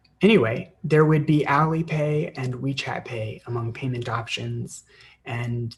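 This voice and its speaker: With an American accent, the speaker talks fairly slowly in a somewhat breathy voice with ordinary pitch variation. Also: man. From United States. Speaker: online English teacher. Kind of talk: live-stream tutorial; casual chat. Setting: live stream. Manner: hesitant, many fillers.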